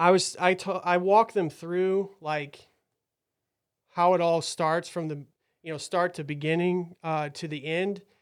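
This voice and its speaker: A man with a high pitch speaks at a fairly slow pace in a monotone, flat intonation on a very clean recording with a silent background. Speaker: podcast host and medical study volunteer. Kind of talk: casual podcast chat. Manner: halting, many fillers.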